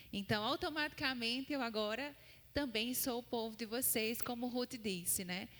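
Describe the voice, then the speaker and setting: Speaking in a northeastern Brazilian accent, a woman uses a fairly high pitch, a bright, sharp tone and lively intonation at a fairly slow pace. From Paraíba, Brazil (Campina Grande). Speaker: seminary student and missionary preacher. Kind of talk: sermon. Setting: church.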